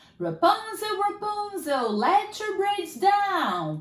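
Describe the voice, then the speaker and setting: A woman puts on a character voice at an extremely high pitch. She speaks very slowly. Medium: read story.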